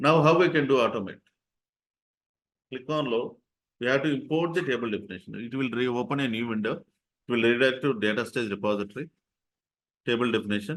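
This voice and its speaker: Speaking at a medium pitch with ordinary pitch variation, a man keeps a fairly quick pace but leaves long, frequent pauses. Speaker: software trainer. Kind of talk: live online training tutorial.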